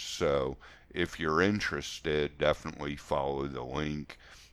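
Very deep and low, this man's voice carries vocal fry. He moves at a fairly slow pace with fairly even intonation. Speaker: spiritual coach and podcast host. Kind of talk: solo podcast monologue. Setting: solo podcast recording. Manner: informal, conversational.

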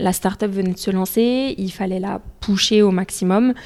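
The woman's voice is dark and mellow in tone. It sits at a medium pitch. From Paris suburbs, France (Essonne). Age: 20s. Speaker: company country director. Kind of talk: interview conversation.

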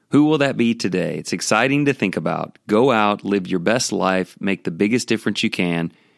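A man with a fairly low voice and lively intonation, fairly quick with hardly any pauses, in a dry, close, very clean recording with a silent background and no echo. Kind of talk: devotional storytelling monologue. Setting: hotel room.

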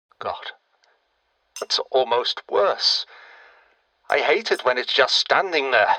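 Bright and sharp in tone, this put-on character voice moves at a slow pace. Its intonation is lively. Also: man, medium pitch for a man.

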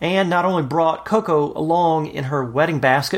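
An ordinary speaking voice: a fairly high-pitched man with an American accent, lively intonation and a moderate pace. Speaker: radio host. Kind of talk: podcast hosting with scripted intro and interview.

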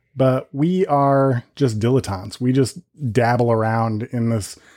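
A man speaks with a dark, mellow tone. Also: very clean recording, silent background. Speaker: podcast host. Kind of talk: casual banter.

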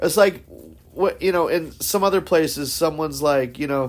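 In a normal speaking voice at a fairly quick pace with ordinary pitch variation, the speech comes on a very clean recording with a silent background. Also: man. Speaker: podcast host. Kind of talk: casual chat.

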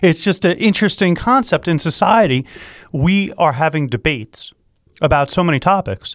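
High male voice, animated with lively intonation and very even loudness, at a moderate pace, in a dry, close sound with no echo and a very clean recording over a silent background. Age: 40s. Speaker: talk radio host and attorney. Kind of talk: casual talk radio discussion. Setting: studio.

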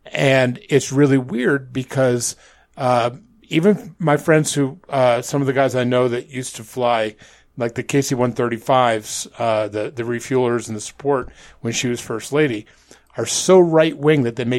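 With a plain, everyday voice, this man keeps a medium pitch, a moderate pace and ordinary variation in pitch. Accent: American. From upstate New York. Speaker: podcaster. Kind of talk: casual chat. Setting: video call.

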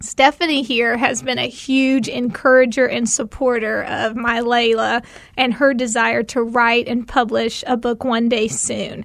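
Speaking in a Tennessee accent with hardly any pauses, a woman keeps a high pitch and a monotone, flat intonation at a fairly slow pace. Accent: Southern US (Tennessee). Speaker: mom and nonprofit volunteer. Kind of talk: casual chat.

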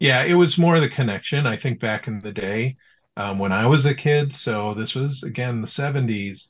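A man with an American accent speaks at a moderate pace in a medium pitch, his somewhat breathy voice showing ordinary pitch variation against a quiet background. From Chicago suburbs, US Midwest. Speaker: tech entrepreneur, baseball fan. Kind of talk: casual interview chat. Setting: remote call from his office.

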